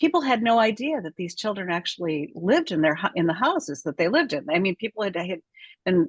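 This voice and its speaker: A somewhat breathy woman's voice with very wide pitch swings. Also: dry, close sound with no echo. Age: 70s. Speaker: author. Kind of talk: video call discussion.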